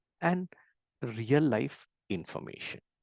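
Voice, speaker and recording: Dry and close with no echo, a man's fairly high voice carries vocal fry and very wide pitch swings. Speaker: valuation trainer. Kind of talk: lecture. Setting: webinar. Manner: slow.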